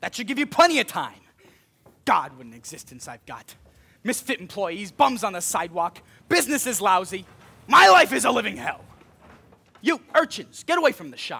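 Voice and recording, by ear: In a put-on character voice, a man speaks high-pitched with big pitch swings, a bright, sharp tone, vocal fry and a slightly husky edge. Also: moderate pace.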